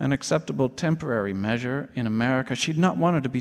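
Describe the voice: The intonation moves in a lively way. It is plain reading aloud.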